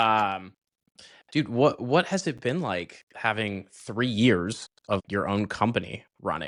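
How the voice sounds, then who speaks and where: Recorded very cleanly against a silent background, a man speaks with a Californian accent. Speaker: podcast host. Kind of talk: casual interview chat. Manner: casual, relaxed.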